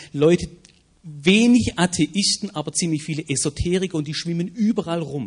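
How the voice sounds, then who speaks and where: A man speaks in a high pitch at a moderate pace. His pitch variation is ordinary. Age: 40s. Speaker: evangelism ministry leader, former pastor. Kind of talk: panel discussion. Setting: stage with audience.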